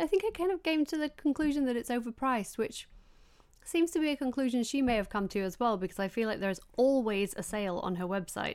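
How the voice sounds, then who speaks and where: With a Yorkshire accent, a woman speaks in a high pitch. Her voice swings very widely in pitch. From northern England. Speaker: beauty podcast host. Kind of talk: casual chat. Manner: animated.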